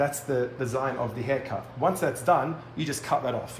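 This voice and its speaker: A man with an Australian accent talks very fast at a fairly high pitch with ordinary pitch variation, with light background noise and audible room echo. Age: 30s. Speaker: hairdresser and educator; educator. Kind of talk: live tutorial. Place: studio.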